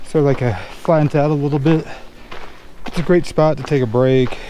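A man speaks at a moderate pace, the sound dry with no echo and light background noise behind him. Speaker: hiking vlogger. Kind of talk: casual vlog chat. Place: open country. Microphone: phone near.

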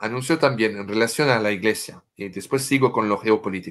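With a French accent, a man speaks in a bright, sharp tone and ordinary pitch variation. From France. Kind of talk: interview explaining prophecies. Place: home room. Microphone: video call.

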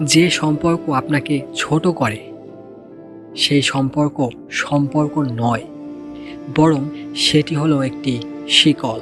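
With music in the background, a man speaks at a fairly high pitch with fairly even intonation. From Bangladesh. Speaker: radio-style storyteller. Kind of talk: radio-style emotional motivational narration.

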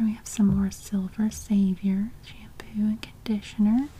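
The speaker is soft-spoken and keeps a moderate pace. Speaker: catalog reviewer. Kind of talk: soft ASMR-style catalog read-through. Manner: soft-spoken ASMR murmur.

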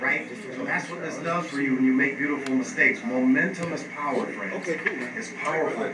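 Speech comes at a fairly quick pace amid noticeable background noise. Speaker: acting class coach. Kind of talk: coaching instruction and class lecture. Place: classroom.

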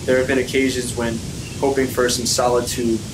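Flat, monotone intonation from a man over noticeable background noise. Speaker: audiobook reader / actor and model. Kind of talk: fantasy audiobook reading, first-person narration.

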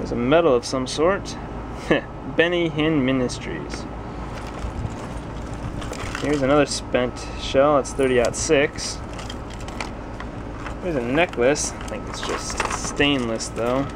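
Delivered at a very slow pace with long, frequent pauses, the speech sits over noticeable background noise. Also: man. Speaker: storage locker reseller. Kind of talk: casual vlog commentary. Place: garage. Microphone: phone near.

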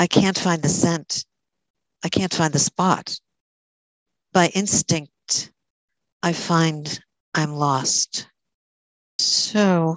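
A woman with a fairly low pitch and fairly even intonation, very slow with long, frequent pauses, in a dry, echo-free recording over a quiet background. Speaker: moderator and poet. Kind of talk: poem reading, reflective elegy read aloud. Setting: video call. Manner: slow, measured, hushed and tender. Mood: somber, reflective. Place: home room. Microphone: headset.

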